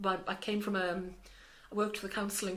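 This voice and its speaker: A woman talks at a fairly quick pace and medium pitch. Her intonation is monotone and flat, and there is audible room echo. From South Wales. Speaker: charity manager. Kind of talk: interview. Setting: office in a busy charity building. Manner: hesitant, many fillers and repetitions.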